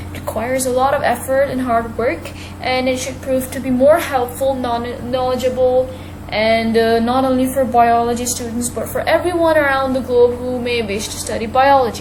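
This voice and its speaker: A woman with a high pitch talks at a moderate pace in a monotone, flat intonation, with noticeable background noise and audible room echo. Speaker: online biology teacher. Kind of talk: video lesson.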